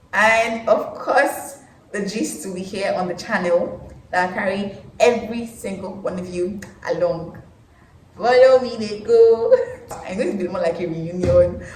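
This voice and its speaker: With a Nigerian accent, a woman speaks in big swings in loudness, with audible room echo and noticeable background noise. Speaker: vlogger, medical lab science graduate. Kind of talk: casual vlog monologue.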